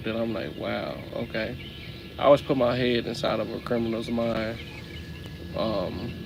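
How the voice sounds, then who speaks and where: Room echo is audible and background noise is noticeable. A man speaks at a medium pitch in a monotone, flat intonation. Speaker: livestreamer. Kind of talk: casual livestream talk. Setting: live stream.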